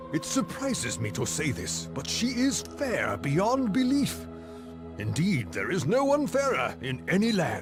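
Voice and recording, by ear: Over clear music in the background, a man in a put-on character voice talks at a high pitch and a fairly slow pace, with very wide pitch swings.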